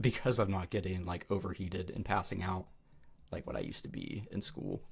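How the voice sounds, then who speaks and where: A man talks in a very deep, low pitch with a somewhat breathy quality. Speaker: livestreamer giving advice. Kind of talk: casual livestream chat. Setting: live stream with chat. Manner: casual, halting with fillers.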